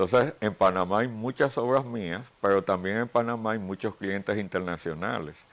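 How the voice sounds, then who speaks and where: A man's fairly low voice at a moderate pace, with ordinary pitch movement, hardly any pauses, and a quiet background. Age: 60s. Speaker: painter. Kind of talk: interview. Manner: hesitant fillers.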